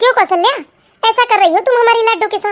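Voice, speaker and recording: In a cartoonish character voice, a woman speaks very fast at an extremely high, squeaky pitch with fairly even intonation. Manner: warm, motherly.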